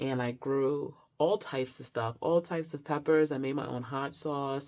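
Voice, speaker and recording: In an excited tone, a woman speaks with a very deep, low pitch. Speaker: tarot reader. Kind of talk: pick-a-card tarot reading intro, casual talk. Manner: shaky, less excited; halting, many fillers.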